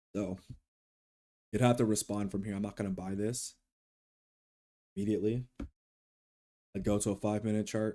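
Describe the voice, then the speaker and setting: A man speaks with a dark, mellow tone and monotone, flat intonation. Long, frequent pauses break up his speech. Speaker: futures day trader streaming live. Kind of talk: live trading commentary. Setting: studio, live stream. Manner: loud; casual, with fillers.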